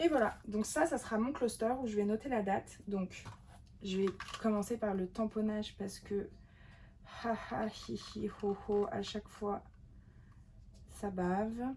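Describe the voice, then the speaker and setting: Somewhat breathy and dark, mellow in tone, a woman speaks very slowly at a fairly high pitch, with ordinary pitch variation and long, frequent pauses. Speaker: journaling video creator. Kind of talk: craft tutorial. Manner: whispering; casual, hesitant.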